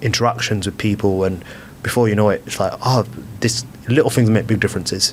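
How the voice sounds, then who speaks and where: Fairly low in pitch, a man talks at a fairly quick pace with a British accent. His intonation stays fairly even amid noticeable background noise. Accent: regional British accent he calls dodgy. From UK. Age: 20s. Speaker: blind footballer. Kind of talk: podcast interview. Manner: fluent, chatty with many fillers and repeats.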